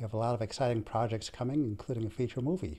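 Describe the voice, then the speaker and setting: A man speaks in a dark, mellow tone. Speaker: foundation head, friend of guest. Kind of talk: welcoming remarks on a webinar. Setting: video call. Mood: warm, appreciative. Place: home room. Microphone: video call.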